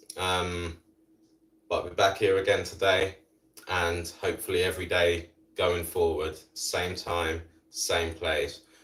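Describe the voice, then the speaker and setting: A man talks with a British accent. His pace is fairly slow. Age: 40s. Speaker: fitness instructor. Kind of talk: live workout instruction. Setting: live stream.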